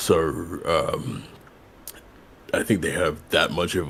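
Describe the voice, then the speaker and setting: Speaking very deep and low, a man talks with an American accent. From England, Kensington and New York. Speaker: YouTuber. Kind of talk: casual interview. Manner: halting, many ums. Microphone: too quiet early on.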